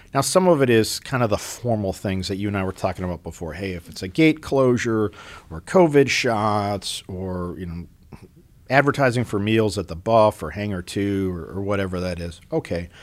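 With an American accent, a man uses a normal speaking voice at fairly low pitch and a moderate pace, his intonation lively. Loudness swings widely in a very clean recording with a silent background. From US upper Midwest, Minneapolis. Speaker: military commander. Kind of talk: casual interview.

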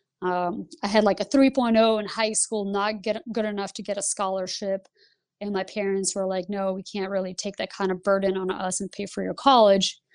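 A woman at a moderate pace and medium pitch, with monotone, flat intonation against a quiet background. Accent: Lithuanian. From Lithuania. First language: Lithuanian. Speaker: Air Force pilot and flight instructor. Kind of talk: interview.

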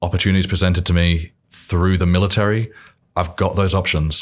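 A man with an English accent speaks at a moderate pace in a very deep, low pitch. The recording is very clean, with a silent background. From England, Milton Keynes. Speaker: military training coordinator. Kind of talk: casual chat.

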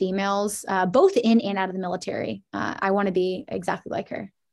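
A woman with an American accent speaks in an unremarkable speaking voice at a medium pitch, her intonation fairly even. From US Midwest, Indianapolis, Indiana. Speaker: Air Force instructor pilot. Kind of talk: interview. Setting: video call.

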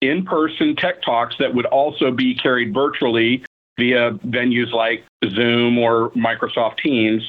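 A man speaks in a normal speaking voice at a fairly slow pace. His pitch is medium, with ordinary variation. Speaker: program director. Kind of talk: interview answers, explanatory. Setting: video call.

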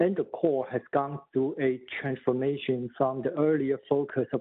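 A man speaks at a fairly slow pace in a medium pitch, with a Chinese accent. His intonation stays monotone and flat. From Taipei, Taiwan. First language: Mandarin Chinese. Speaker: economist. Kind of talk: podcast interview.

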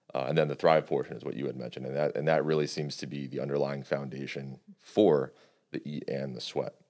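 In a very deep, low pitch with vocal fry and a dark, mellow tone, a man speaks at a very fast pace in a flat monotone. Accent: American. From New York State. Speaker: strength and conditioning specialist. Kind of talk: casual interview.

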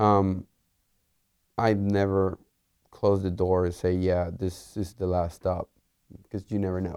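A man with a Spanish accent speaks at a very deep, low pitch in a dark, mellow tone and monotone, flat intonation. His pace is fairly slow with long, frequent pauses, in a very clean recording with a silent background. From Puerto Rico. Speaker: engineer and test team lead. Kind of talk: interview. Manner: hesitant, many fillers.

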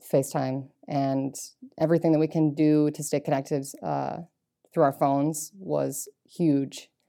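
Her voice is very deep and low for a woman, dark and mellow in tone, with fairly even intonation. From Maine. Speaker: air transportation technician, military. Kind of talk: interview.

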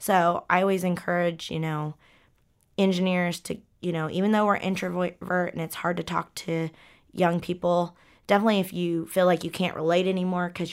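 Here is a woman with a normal speaking voice and a fairly low pitch. She talks at a moderate pace with fairly even intonation. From Oklahoma, Ponca City. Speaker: structural engineer. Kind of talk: interview.

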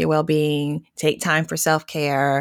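A woman with an American accent speaks at a moderate pace in a very deep, low pitch, with a dry, close sound with no echo and a very clean recording over a silent background. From US South. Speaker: social worker, program analyst. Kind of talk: conversational interview.

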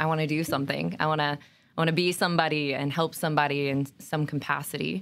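This woman speaks in a very deep, low voice with monotone, flat intonation. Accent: American. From Oregon. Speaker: military recruiter. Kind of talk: interview.

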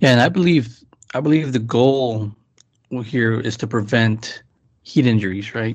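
Here is a man with a normal speaking voice. He speaks at a moderate pace with a medium pitch. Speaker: army NCO. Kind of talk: casual discussion.

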